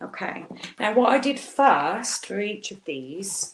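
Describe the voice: A woman speaks at a slow pace, her pitch swinging widely. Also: medium pitch for a woman.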